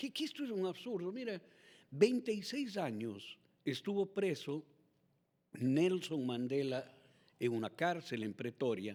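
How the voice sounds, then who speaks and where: Speaking at a very slow pace with long, frequent pauses, a man with a high pitch makes very wide pitch swings. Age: 60s. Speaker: political candidate. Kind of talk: political interview. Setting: TV and radio studio.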